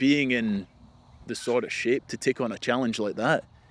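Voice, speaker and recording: Heard with a dry, close sound and no echo, a man speaks at a medium pitch and a moderate pace. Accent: Scottish. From Scotland, west coast. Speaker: ultramarathon swimmer. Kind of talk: casual chat. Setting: outdoors.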